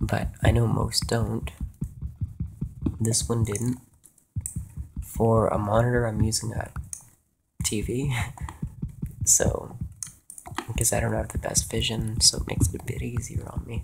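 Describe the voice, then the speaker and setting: Soft-spoken and fairly slow, a man talks with long, frequent pauses. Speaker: gaming YouTuber. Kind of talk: gameplay commentary.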